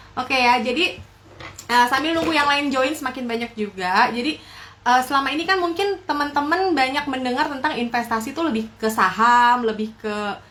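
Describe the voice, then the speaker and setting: A high-pitched woman's voice at a fairly quick pace, lively in intonation, over noticeable background noise. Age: young. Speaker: live stream host, entrepreneur. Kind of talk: casual live stream chat.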